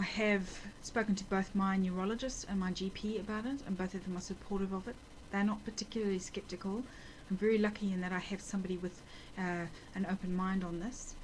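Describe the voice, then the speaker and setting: Somewhat breathy woman's speech with a New Zealand accent, medium pitch, fairly even intonation and a fairly quick pace. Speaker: nurse with multiple sclerosis, video blogger. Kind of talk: personal video diary. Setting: at home. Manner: halting, many fillers.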